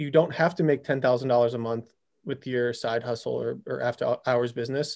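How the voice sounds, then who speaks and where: On a very clean recording with a silent background, a man talks fairly quickly in a plain, everyday voice, medium in pitch with ordinary pitch variation. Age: 30s. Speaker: high performance coach. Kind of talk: casual interview chat.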